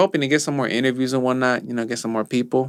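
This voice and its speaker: This man speaks very fast with a Spanish accent. His pitch variation is ordinary. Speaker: podcast co-host. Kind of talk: casual chat.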